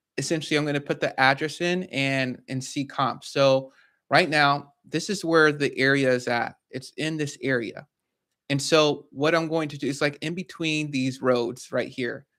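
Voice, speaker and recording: On a very clean recording with a silent background, a man speaks at a moderate pace in a fairly high pitch, his tone bright and sharp and his intonation fairly even. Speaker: real estate investor and educator. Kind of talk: tutorial.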